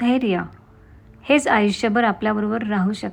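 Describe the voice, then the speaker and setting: A woman with an unremarkable speaking voice talks at a fairly high pitch, her intonation fairly even. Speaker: voiceover artist and blogger. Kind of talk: self-help blog narration.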